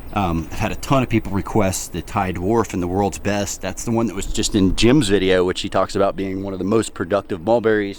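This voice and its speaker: Hardly pausing at all, a man with fairly low pitch speaks at a fairly quick pace using fairly even intonation. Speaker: plant nursery owner. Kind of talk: casual video tour. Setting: outdoors in plant nursery. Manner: casual, filler-heavy; keeping voice down.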